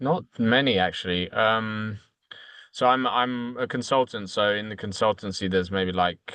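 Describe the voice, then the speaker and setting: A man speaks with a British accent. His tone is bright and sharp against a quiet background. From United Kingdom. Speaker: consultant. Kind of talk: casual chat. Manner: halting, many fillers.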